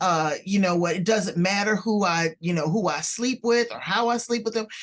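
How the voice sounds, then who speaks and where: A plain, everyday voice from a woman with an American accent, medium in pitch, at a moderate pace. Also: ordinary pitch variation. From US West Coast, South Central Los Angeles. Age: 60s. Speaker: podcast host. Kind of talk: interview podcast.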